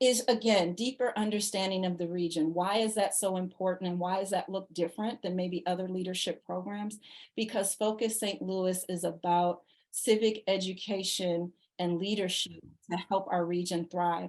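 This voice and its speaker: A woman with an unremarkable speaking voice talks at a medium pitch and a moderate pace with fairly even intonation. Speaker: leadership program director. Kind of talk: informational presentation.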